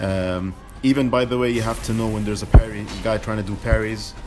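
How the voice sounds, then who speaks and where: A man's fairly low voice at a fairly quick pace, ordinary in pitch variation, with music in the background. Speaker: video game player. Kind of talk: casual gameplay commentary. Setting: home recording, lower audio quality. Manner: hesitant, many filler words.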